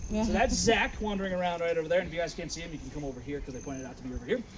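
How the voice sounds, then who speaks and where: Speaking at a very fast pace in a high voice, a man is heard over noticeable background noise with audible room echo. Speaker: wildlife center tour guide. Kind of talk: guided tour talk. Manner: loud.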